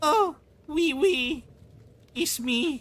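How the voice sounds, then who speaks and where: A put-on character voice speaks at a high pitch. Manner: silly.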